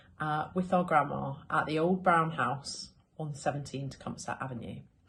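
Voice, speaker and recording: With a British accent, a woman speaks at a moderate pace in a very deep, low, somewhat breathy voice with ordinary pitch variation. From London, England. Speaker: local resident reminiscing. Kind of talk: scripted narration.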